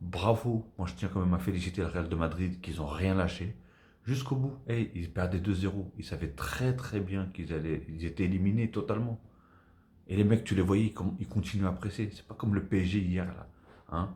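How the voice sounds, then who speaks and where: Soft-spoken and somewhat breathy, a man talks in a very deep, low pitch. His tone is dark and mellow. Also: ordinary pitch variation, moderate pace. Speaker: football YouTuber. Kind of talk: casual video debrief.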